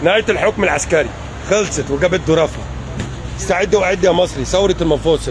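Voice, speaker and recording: Over noticeable background noise, a man with an Egyptian accent speaks in an animated tone at very even loudness. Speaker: political commentator. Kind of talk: political rant.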